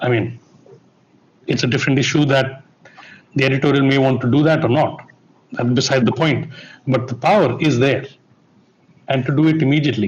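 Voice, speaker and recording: A man's somewhat breathy voice at a fairly quick pace, very even in loudness, with long, frequent pauses. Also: medium pitch for a man, fairly even intonation. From India. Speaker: broadcast technology executive. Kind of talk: panel discussion.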